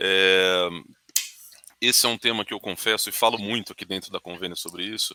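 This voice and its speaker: In a rural Brazilian accent, a man with a fairly low pitch and a bright, sharp tone speaks with fairly even intonation and long, frequent pauses. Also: fairly quick pace, dry, close sound with no echo. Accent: Brazilian countryside (interior). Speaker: webinar host. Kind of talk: webinar panel discussion.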